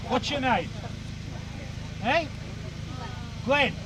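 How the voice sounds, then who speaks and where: Background noise is noticeable here. Over it, a man keeps to a moderate pace. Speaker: historical reenactor and street performer. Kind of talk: live audience demonstration. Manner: animated.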